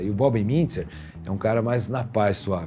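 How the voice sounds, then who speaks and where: A man's medium-pitched voice at a fairly slow pace, lively intonation, and music in the background. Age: 60s. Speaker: jazz saxophonist. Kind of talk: interview.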